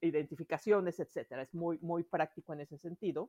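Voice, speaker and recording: In a dry, close sound with no echo and a quiet background, a woman speaks in a plain, everyday voice, fairly low in pitch, with ordinary pitch variation. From Mexico City. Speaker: planner enthusiast. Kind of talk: casual chat.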